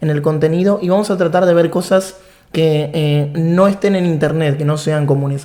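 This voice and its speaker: In a room with audible echo, a man with an Argentine accent speaks at a moderate pace in a dark, mellow tone with fairly even intonation. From Argentina. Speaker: programming instructor. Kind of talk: online course lecture.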